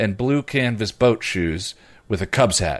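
Against a quiet background, a man with a plain, everyday voice talks at a moderate pace, medium in pitch with ordinary pitch variation. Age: 40s. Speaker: podcast co-host and YouTube reviewer. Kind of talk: casual chat.

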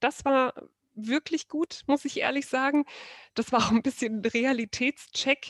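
A woman speaks at a fairly slow pace with fairly even intonation. The sound is dry and close, with no echo. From Saxony, Germany (Dresden). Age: 30s. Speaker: wedding photographer. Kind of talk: casual interview chat.

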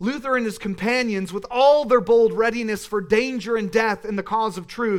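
Someone reads aloud here in a natural voice.

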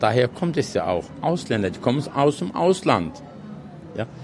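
A man speaks at medium pitch with very wide pitch swings. Noticeable background noise is present. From Odenwald, Germany. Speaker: restaurant worker, Turkish returnee. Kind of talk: interview.

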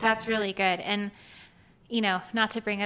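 A fairly high-pitched woman's voice with a bright, sharp tone and an American accent. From US South, Georgia. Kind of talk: casual faith-based chat.

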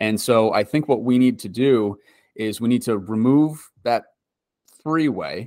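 A man speaks in a normal speaking voice at a fairly slow pace, with a medium pitch, ordinary pitch variation, and a dry, close sound with no echo on a very clean recording with a silent background. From Wisconsin. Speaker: urbanist and project founder, former Marine. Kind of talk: tour guide walking the site, pointing out landmarks; casual interview. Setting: outdoors on location by the freeway spur. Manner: conversational, fairly fluent with filler words.

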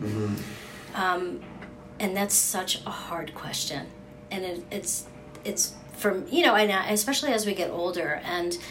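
Over noticeable background noise, the speech moves at a fairly slow pace with long, frequent pauses. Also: woman, medium pitch for a woman, ordinary pitch variation. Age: 60s. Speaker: podcast host and writer. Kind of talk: interview conversation. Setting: guest's office.

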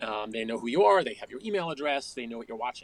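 A man speaks with an American accent. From suburban New York and Connecticut. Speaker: journalist and author. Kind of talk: interview.

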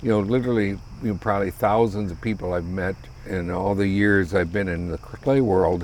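A man with an American accent talks at a fairly quick pace and a fairly low pitch, with fairly even intonation. He has a normal speaking voice. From US Midwest (South Dakota). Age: 60s. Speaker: retired high school ceramics teacher and potter. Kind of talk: casual chat.

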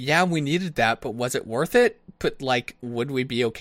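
What you hear is plain reading aloud.

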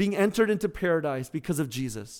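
The recording is very clean, with a silent background. A man is the one talking. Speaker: pastor. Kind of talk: sermon.

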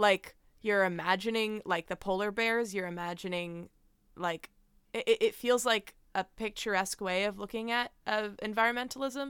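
Heard dry and close with no echo, a woman with a normal speaking voice talks at a medium pitch with fairly even intonation. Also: moderate pace. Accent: American. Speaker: podcast host. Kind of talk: casual interview chat. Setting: video call.

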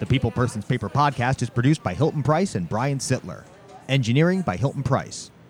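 Over music in the background, a man at medium pitch speaks at a very fast pace with lively intonation. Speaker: podcast host. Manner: fast talker; energetic.

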